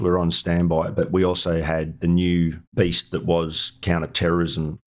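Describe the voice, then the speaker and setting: A man with an Australian accent, very deep and low in pitch, fairly even in intonation at a moderate pace, on a very clean recording with a silent background. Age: 50s. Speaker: war veteran. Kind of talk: interview.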